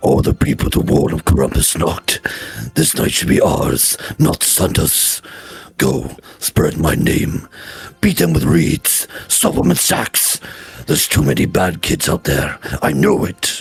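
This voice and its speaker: A man puts on a booming, raspy character voice with a very deep, low pitch. He speaks at a fairly slow pace. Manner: menacing, commanding.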